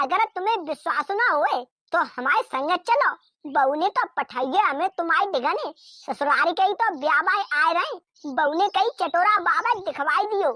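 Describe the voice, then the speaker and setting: Using a cartoonish character voice, a woman talks at a moderate pace in an extremely high pitch with very wide pitch swings, the sound dry and close with no echo. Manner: wheedling, sly.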